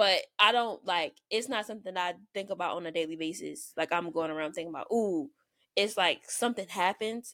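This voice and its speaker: Speaking fairly quickly in a Southern US accent, a woman with a medium pitch and ordinary pitch variation comes through on a very clean recording with a silent background. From US South. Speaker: podcast co-host. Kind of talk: casual chat. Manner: fast talker.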